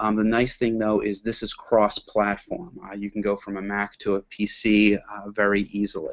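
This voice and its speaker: Speaking at a moderate pace with hardly any pauses, a man keeps a fairly low pitch and fairly even intonation. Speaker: education technology presenter. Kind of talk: webinar presentation. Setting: webinar. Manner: halting, many fillers and repeats.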